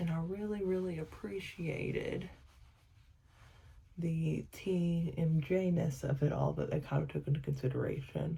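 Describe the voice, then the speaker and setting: Her voice is somewhat breathy, fairly low in pitch, and dark and mellow in tone. The woman talks at a fairly slow pace with ordinary pitch variation. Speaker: family vlogger. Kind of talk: casual vlog talk. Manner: soft-spoken; rambling with many fillers.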